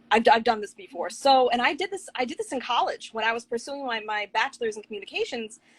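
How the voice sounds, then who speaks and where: A woman with an American accent, high pitch, lively intonation and an animated tone, at a very fast pace with hardly any pauses. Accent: New York accent, tame now. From Long Island, New York. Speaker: writer. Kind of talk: casual chat. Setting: video call.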